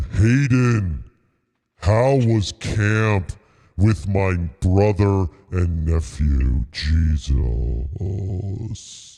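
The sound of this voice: A man's booming, put-on character voice, very deep and low in pitch, at a very slow pace.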